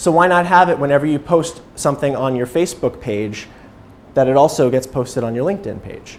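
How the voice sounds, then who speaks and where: At a fairly quick pace, a man speaks with a fairly high pitch and ordinary pitch variation. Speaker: nonprofit communications director. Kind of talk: presentation. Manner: fast.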